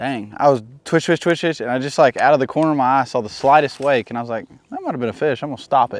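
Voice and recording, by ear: A man speaks at a fast clip, his fairly high voice moving with ordinary pitch variation.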